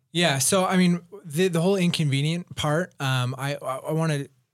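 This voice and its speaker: The speaker is a man with an American accent. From Utah (Provo). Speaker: podcast co-host. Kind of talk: casual chat.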